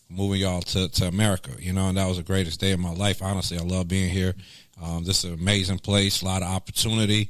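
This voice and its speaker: On a very clean recording with a silent background, a man talks very fast in a very deep, low voice with monotone, flat intonation. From Greensboro, North Carolina (moved from Lebanon at 8). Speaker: former radio personality, music executive. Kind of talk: casual interview.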